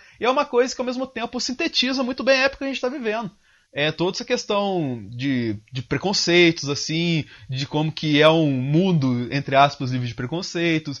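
Moderately paced speech from a man, fairly high-pitched, the pitch swinging very widely. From southern Minas Gerais, Brazil. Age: 20s. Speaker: systems analyst and video editor. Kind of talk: casual interview.

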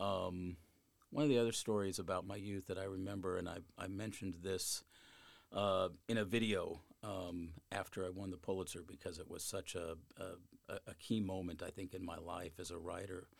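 Talking at a moderate pace, a man with an American accent uses a very deep, low pitch and fairly even intonation. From Colorado. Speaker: newspaper columnist. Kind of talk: interview.

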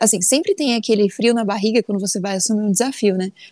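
A woman's fairly high voice with a dark, mellow tone, dry and close with no echo, over a quiet background. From Brazil, São Paulo state interior (Sertãozinho). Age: 20s. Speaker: engineer and business analyst. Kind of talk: interview.

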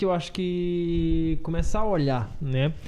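Here a man speaks with a fairly high pitch, a dark, mellow tone and lively intonation. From Brazil, Maranhão (Açailândia). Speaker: CrossFit gym owner and coach. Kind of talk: casual chat.

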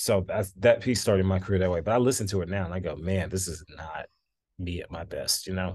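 A man with an American accent speaks at a very deep, low pitch, somewhat breathy and with fairly even intonation. His pace is fairly quick over a quiet background. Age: 20s. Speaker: composer and conductor. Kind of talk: interview.

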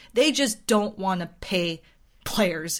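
A woman with an unremarkable speaking voice, medium pitch and ordinary pitch variation at a fairly slow pace, in a very clean recording with a silent background. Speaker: baseball podcast co-host. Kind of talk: casual chat.

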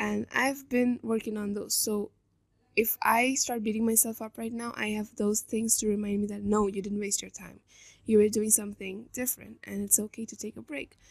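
A woman talks at a moderate pace with a fairly high pitch. Her intonation stays monotone and flat, though her loudness swings widely. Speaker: solo podcast host. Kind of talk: scripted monologue.

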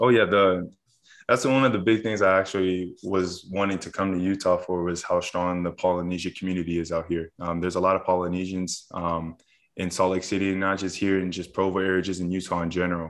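A man with a very deep, low voice speaks at a fairly quick pace in a flat monotone against a quiet background. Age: 20s. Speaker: college football player. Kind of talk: casual chat.

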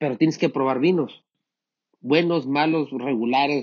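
Moderate pace and fairly high pitch from a man. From Mexico, Sinaloa. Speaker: winemaker. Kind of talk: interview. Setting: wine cellar. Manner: halting.

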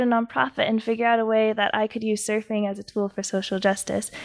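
The recording is very clean, with a silent background and a dry, close sound with no echo. A woman with an American accent speaks fairly quickly in an ordinary speaking voice, fairly high in pitch with ordinary pitch variation. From San Diego, California. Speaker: nonprofit founder. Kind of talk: podcast interview.

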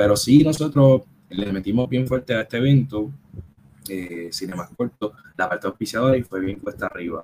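In a Puerto Rican accent, a man speaks at medium pitch and a moderate pace, with a dark, mellow tone and ordinary pitch variation. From Puerto Rico, Caguas. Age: 30s. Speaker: film project founder and TV worker. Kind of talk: casual interview. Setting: live-streamed podcast.

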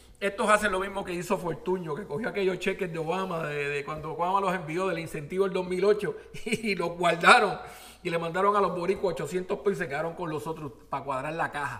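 An animated man with a high pitch at a fairly quick pace, amid noticeable background noise. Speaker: podcast host. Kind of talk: opinionated news commentary monologue.

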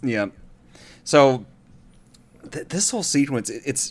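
A man with an ordinary speaking voice, moderate pace and ordinary pitch variation. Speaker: co-host. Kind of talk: casual chat.

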